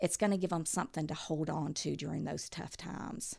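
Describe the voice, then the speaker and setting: A woman's very deep, low voice with an Alabama accent and fairly even intonation, on a very clean recording with a silent background. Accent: Southern US (Alabama). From US South, southern Alabama near Mobile. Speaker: mother and reading educator. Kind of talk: podcast interview.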